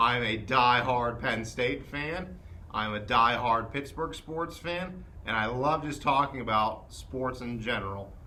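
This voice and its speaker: A man's bright, sharp voice at a fairly slow pace, with ordinary pitch variation and audible room echo. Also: medium pitch for a man. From southwestern Pennsylvania, Charleroi. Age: 20s. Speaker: sports podcast co-host. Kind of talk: casual sports chat. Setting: podcast recording.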